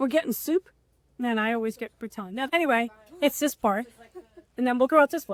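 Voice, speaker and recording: A loud, high-pitched woman with a New York accent, animated tone and ordinary pitch variation, very fast pace broken by long, frequent pauses, in a dry, close sound with no echo. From New York, the Bronx. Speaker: restaurant owner. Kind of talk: casual chat.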